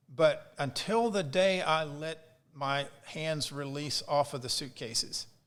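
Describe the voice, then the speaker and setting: In an ordinary speaking voice, a man speaks at a fairly slow pace with a fairly high pitch and ordinary pitch variation. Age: 60s. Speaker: coffee roaster and business owner. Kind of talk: casual interview chat.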